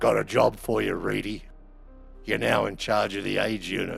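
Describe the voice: A man puts on a gruff, raspy character voice at a moderate pace, with clear music playing in the background.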